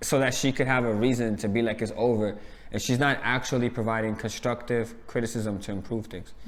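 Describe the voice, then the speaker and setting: With a New York accent, a man talks at a fairly quick pace and a medium pitch. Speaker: reality TV reviewer. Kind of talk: casual chat. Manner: loud; animated.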